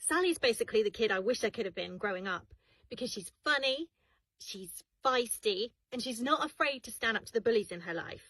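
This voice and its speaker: Heard with a dry, close sound and no echo, a woman with a British accent talks at a moderate pace, her fairly high voice showing lively intonation and big swings in loudness. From UK. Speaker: voice actor. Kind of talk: scripted self-introduction.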